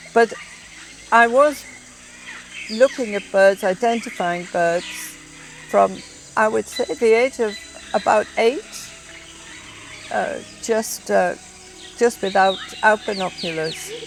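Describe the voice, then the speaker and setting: Music plays in the background as a woman with a fairly high voice speaks. She goes very slowly, with long, frequent pauses. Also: ordinary pitch variation. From northern England, County Durham. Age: 70s. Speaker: ornithologist. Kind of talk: documentary interview. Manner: halting.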